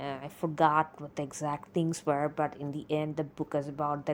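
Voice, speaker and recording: A woman speaks with a non-native accent. Her pitch is very deep and low. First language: not English. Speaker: solo podcaster. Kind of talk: casual monologue. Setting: alone on a mic. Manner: slow; halting, with pauses.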